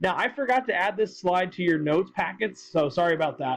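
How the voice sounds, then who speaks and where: A loud man's voice, high in pitch. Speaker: high school economics teacher. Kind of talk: lecture. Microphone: tablet recording, may sound weird or quiet.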